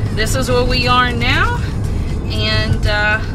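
There is clear music in the background as a woman speaks. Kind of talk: casual vlog chat. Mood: excited, cheerful. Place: car. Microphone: phone near.

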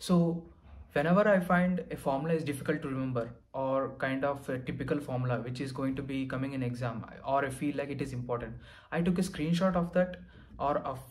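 Speaking with an Indian accent, a man talks at a fairly quick pace and fairly high pitch with ordinary pitch variation. His voice is somewhat breathy against a quiet background. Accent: Indian English (Telugu). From Andhra Pradesh, India. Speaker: exam topper sharing success story; candidate. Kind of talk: testimony and exam advice; interview answer, advice talk. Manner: hesitant, many fillers. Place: home room.

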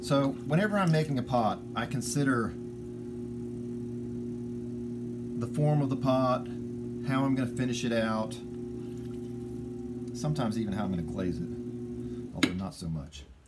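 A man speaks at a moderate pace with long, frequent pauses while music plays in the background. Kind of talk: tutorial. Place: workshop. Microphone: phone near.

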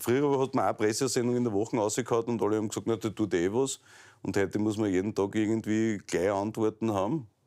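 Against a quiet background, a man with a fairly low pitch and a dark, mellow tone talks at a very fast pace, his intonation fairly even and his loudness very even. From Styria, Austria. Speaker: talk show host. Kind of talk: interview. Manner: casual, joking. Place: office. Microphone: lapel.

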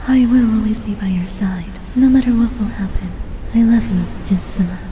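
A woman speaks at a moderate pace with a fairly high pitch. Background noise is clearly audible. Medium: fan dub. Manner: tender, earnest.

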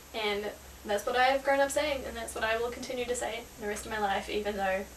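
Light background noise sits under a woman speaking at a fairly quick pace. She has a fairly high pitch and a New Zealand accent. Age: young. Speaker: travel vlogger. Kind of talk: casual talk to camera. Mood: amused, lighthearted.

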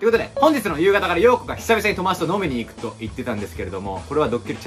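Over clear background music, a man talks very fast. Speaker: prank video creator. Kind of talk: casual vlog chat. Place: home room. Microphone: camera far.

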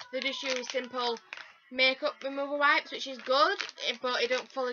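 A woman speaks at a high pitch. There is light background noise. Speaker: beauty vlogger. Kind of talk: casual vlog chat. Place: home room. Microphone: phone near.

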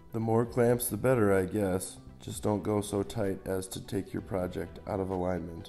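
A man speaks with hardly any pauses while music plays in the background. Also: ordinary pitch variation, moderate pace. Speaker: hobby woodworker. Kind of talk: DIY tutorial narration. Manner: dry, joking.

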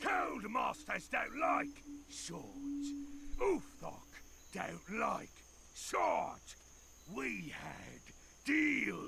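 A man does a put-on character voice, raspy and very slow, with long, frequent pauses and clear background noise. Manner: mild but laced with menace.

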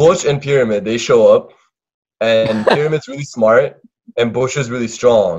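A man's speech moves at a fairly slow pace, with the background kept quiet. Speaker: storyteller on call. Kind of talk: casual chat retelling a cartoon. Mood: playful, joking. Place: home room. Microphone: headset.

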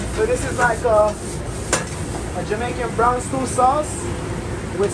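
Loud background noise is present. Over it, a man speaks at a moderate pace. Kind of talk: casual interview while cooking. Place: kitchen. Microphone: phone near.

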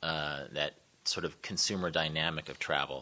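Speaking with a Midwestern US accent, the voice has a bright, sharp tone and ordinary pitch variation. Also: man. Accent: US Midwest. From Kansas, Wichita; Kansas. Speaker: travel writer; guest lecturer. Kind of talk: panel discussion. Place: hall.

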